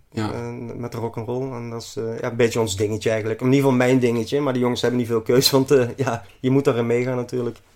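A man speaks very fast at a medium pitch, with big swings in loudness. Noticeable background noise is present. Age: 40s. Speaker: tiling business owner. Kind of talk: casual interview. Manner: energetic.

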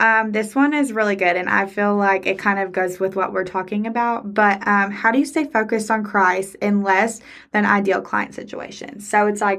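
A normal speaking voice from a woman, medium in pitch, fairly even in intonation, at a moderate pace. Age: 20s. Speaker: wedding photographer and podcast co-host. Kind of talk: casual chat.

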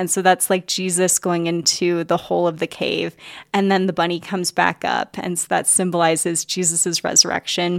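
A woman talks at a moderate pace with monotone, flat intonation. The sound is dry and close, with no echo. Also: fairly low pitch for a woman, very clean recording, silent background. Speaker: podcast host. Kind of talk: casual interview chat.

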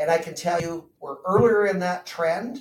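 A man speaks in a normal speaking voice. His pitch is fairly high. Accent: Canadian. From Southern Ontario, Canada. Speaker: chartered accountant and financial planner. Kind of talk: interview.

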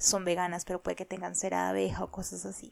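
The recording is very clean and the background silent. The words come out at a very fast pace. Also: woman. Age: 20s. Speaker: podcast host. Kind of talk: casual monologue.

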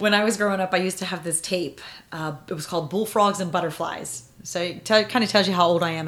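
Amid noticeable background noise, a woman talks at a very fast pace with a medium pitch and fairly even intonation. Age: 40s. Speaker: mother interviewed about parenting. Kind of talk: casual interview.

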